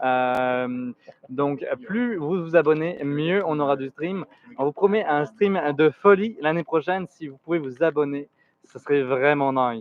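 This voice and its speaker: Speaking with a French accent at a moderate pace, a man uses a fairly high pitch, ordinary pitch variation and big swings in loudness. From France. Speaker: livestream co-host. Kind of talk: live commentary.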